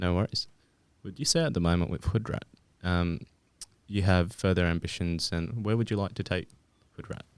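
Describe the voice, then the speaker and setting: A man with an Australian accent speaks in a very deep, low voice with ordinary pitch variation. His pace is moderate, with long, frequent pauses. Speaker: podcast host. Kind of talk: casual interview. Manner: hesitant, many fillers.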